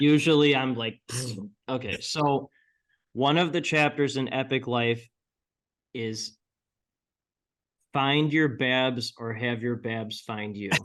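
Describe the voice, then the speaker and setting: Very slowly and with long, frequent pauses, a man speaks at medium pitch with fairly even intonation. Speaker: PR entrepreneur and author. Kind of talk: interview.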